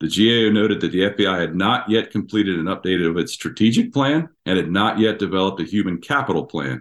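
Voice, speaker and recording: A man with an American accent talks very fast, with hardly any pauses. His fairly low voice carries lively intonation. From Washington DC area. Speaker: retired FBI agent. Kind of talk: interview.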